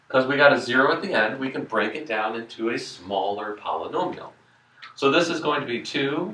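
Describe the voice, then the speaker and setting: With noticeable background noise and audible room echo, a man speaks at a fairly high pitch with lively intonation. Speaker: math teacher. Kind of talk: classroom lecture. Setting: classroom with students. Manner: fast.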